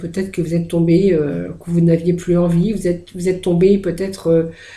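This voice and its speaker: Dark and mellow in tone, the voice keeps a monotone, flat intonation throughout. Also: woman. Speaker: tarot card reader. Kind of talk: tarot reading video. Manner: halting, many hesitations.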